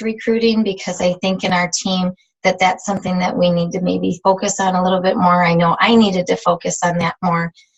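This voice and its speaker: A woman's medium-pitched voice sounds somewhat breathy. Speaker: fitness team leader. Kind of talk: team training call. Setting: video call.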